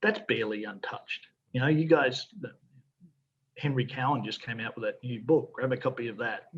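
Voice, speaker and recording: With an Australian accent, a man speaks with long, frequent pauses and big swings in loudness. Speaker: fly fishing guide. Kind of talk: casual podcast interview answers.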